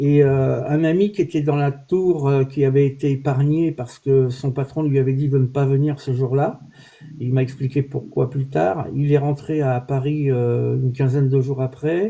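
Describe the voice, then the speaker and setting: A man with a fairly high pitch and a dark, mellow tone speaks at a fairly slow pace, somewhat breathy, with fairly even intonation. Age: 60s. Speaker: olive oil producer, livestream host. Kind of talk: casual chat. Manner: hesitant, many fillers.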